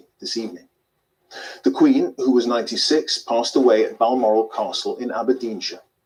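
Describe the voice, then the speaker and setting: In a British accent, a man is talking. He moves along fairly quickly. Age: 50s. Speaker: news anchor. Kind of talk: news reading. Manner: formal.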